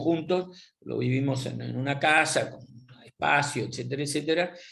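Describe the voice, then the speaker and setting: A man speaks with a fairly high pitch and vocal fry. His pace is moderate. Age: 70s. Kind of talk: interview. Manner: halting.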